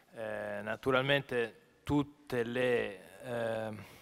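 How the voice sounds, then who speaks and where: A man's monotone, flat intonation. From Milan, northern Italy. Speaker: journalist and event moderator; speaker. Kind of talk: panel moderation. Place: hall. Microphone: podium.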